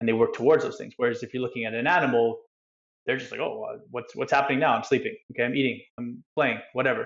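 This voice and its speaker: Talking at a very fast pace, a man speaks with a Canadian accent. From Canada, Vancouver area. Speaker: soccer coach and ex pro player. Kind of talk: casual interview chat.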